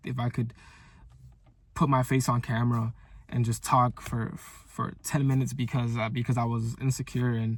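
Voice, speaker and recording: Somewhat breathy, a man speaks at a moderate pace at a medium pitch. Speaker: content creator. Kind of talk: motivational video diary monologue. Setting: talking to camera. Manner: stuttering, many fillers and repeats; casual, animated.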